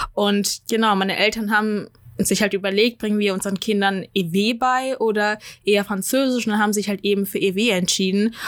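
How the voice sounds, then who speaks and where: A woman speaks in a monotone, flat intonation at very even loudness. The recording is very clean, with a silent background. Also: medium pitch for a woman, moderate pace. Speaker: podcast host. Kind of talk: casual chat.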